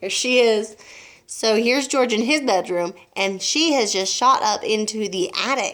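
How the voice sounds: The speaker reads aloud. The voice is a natural reading voice.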